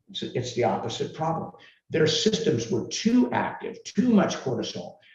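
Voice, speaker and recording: Audible room echo around a man's fairly high voice, very wide pitch swings, a moderate pace. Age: 60s. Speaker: herbal supplement formulator. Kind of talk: live Q&A interview.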